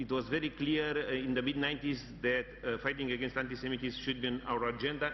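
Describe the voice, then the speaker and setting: A man at a medium pitch talks at a fairly quick pace in a monotone, flat delivery, with audible room echo around him. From Romania. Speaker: national security advisor. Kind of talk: conference speech. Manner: halting.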